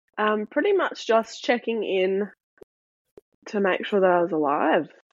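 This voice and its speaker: This woman has an Australian accent. Her pitch sits fairly high. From South Australia. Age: 20s. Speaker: mental health speaker. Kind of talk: interview, personal testimony.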